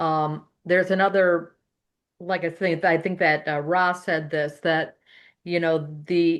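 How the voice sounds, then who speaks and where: In an unremarkable speaking voice, a woman talks at a fairly slow pace with a fairly low pitch and fairly even intonation over a quiet background. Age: 60s. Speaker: podcast panelist. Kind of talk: panel discussion.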